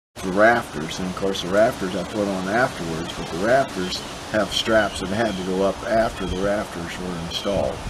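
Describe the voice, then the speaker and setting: Against noticeable background noise, a man with a fairly low pitch and fairly even intonation keeps a moderate pace with hardly any pauses. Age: 80s+. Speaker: retired home builder, DIY workshop builder. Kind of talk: interview answer. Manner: hesitant, with frequent fillers.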